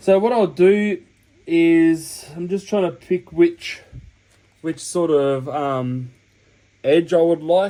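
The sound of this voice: At a slow pace, a man speaks with a fairly high pitch and a dark, mellow tone.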